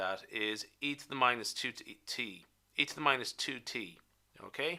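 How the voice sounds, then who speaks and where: Lively intonation from a man with a medium pitch and a bright, sharp tone. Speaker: statistics teacher. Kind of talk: tutorial. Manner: halting, self-correcting.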